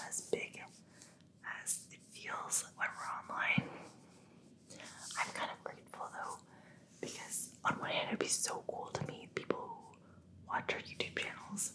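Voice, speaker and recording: Whispering with big swings in loudness and long, frequent pauses. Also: woman. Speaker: ASMR creator. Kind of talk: ASMR Q&A while massaging. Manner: soft-spoken. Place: home room.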